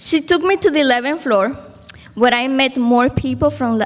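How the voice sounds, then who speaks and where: High-pitched female voice with a Spanish accent. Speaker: program graduate. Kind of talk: graduation speech.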